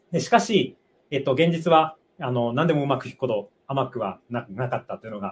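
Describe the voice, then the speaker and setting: A man with a medium-pitched, somewhat breathy voice speaks at a fairly quick pace, his intonation lively and his loudness swinging widely. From Japan, Aichi. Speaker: doctoral student. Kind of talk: testimony. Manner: halting.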